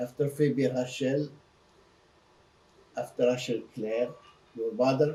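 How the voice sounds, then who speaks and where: Very slow and marked by long, frequent pauses, a man's medium-pitched voice sounds somewhat breathy with a dark, mellow tone and a monotone, flat intonation. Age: 80s+. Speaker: interviewee sharing family history. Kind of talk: personal interview. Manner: halting.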